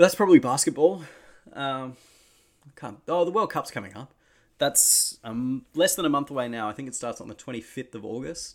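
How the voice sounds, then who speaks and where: On a very clean recording with a silent background, a man with an Australian accent speaks at a moderate pace, his fairly high pitch and lively intonation paired with big swings in loudness. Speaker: basketball podcast host. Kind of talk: casual solo talk. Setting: home recording setup.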